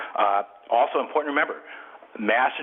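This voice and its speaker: Noticeable noise fills the background. A man's voice comes through at a medium pitch. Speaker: real estate broker and author. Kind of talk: webinar presentation. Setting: webinar, audio conference. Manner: fast; halting, many fillers.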